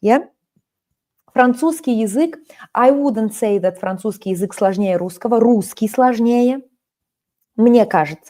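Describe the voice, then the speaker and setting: With a Russian accent, a woman speaks at a fairly slow pace, leaving long, frequent pauses. Her fairly high voice has a dark, mellow tone and ordinary pitch variation. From Russia, Kaliningrad. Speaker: language teacher. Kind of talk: live online lesson. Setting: live stream.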